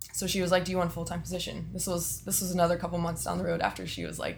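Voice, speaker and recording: Very fast speech from a woman with a Texan accent, with audible room echo. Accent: Texan American. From Texas (Austin area). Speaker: strength and conditioning coach. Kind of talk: interview.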